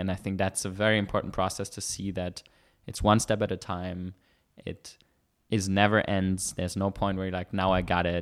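In a very clean recording with a silent background, a man speaks at a moderate pace in a very deep, low pitch with monotone, flat intonation. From Germany. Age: 20s. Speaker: professional poker player. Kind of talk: interview. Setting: studio.

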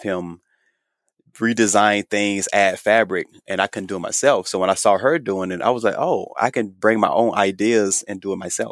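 A man with an American accent and a plain, everyday voice speaks at a moderate pace and a fairly low pitch, with fairly even intonation. The recording is very clean with a silent background, and the sound is dry and close with no echo. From US South, Georgia. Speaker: menswear designer and sewing influencer. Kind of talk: interview.

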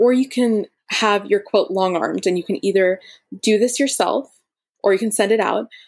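With an American accent, a woman speaks in a plain, everyday voice at a moderate pace and medium pitch, with ordinary pitch variation and very even loudness. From US, Florida. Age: 20s. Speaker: quilter and quilt pattern designer. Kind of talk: interview.

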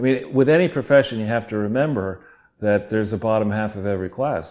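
A man speaks at a fairly low pitch with ordinary pitch variation and a normal speaking voice. The recording is very clean, with a silent background. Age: 60s. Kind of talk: casual chat.

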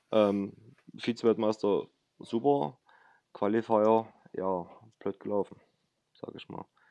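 A man speaks very slowly with a fairly low pitch and a dark, mellow tone, leaving long, frequent pauses, his loudness swinging widely and his intonation fairly even, in a dry, close sound with no echo. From Saxony, near Chemnitz. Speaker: para ice hockey national player. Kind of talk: interview.

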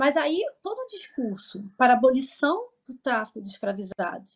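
Moderate pace from a somewhat breathy female voice. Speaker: history professor. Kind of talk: interview answers.

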